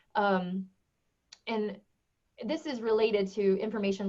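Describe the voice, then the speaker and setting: The voice belongs to a woman. It sits at a medium pitch. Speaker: education technology director and presenter. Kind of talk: webinar presentation. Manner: fast.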